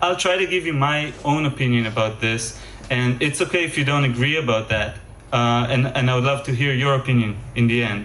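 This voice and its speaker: A man with a slight Israeli accent speaks in a room with audible echo. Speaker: game developer and music composer. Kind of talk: conference lecture. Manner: hesitant, many fillers and repetitions.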